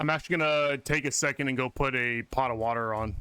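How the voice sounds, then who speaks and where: A loud man at a moderate pace, animated, with a bright, sharp tone. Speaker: video game streamer. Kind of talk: casual live-stream chat.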